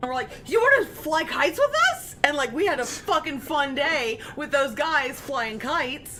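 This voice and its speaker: A woman's raised, projected voice with an American accent, high in pitch and animated, with ordinary pitch variation, a moderate pace and hardly any pauses, over noticeable background noise. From US West, southern California (Palmdale). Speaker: gaming streamer. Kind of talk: casual chat. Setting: live stream.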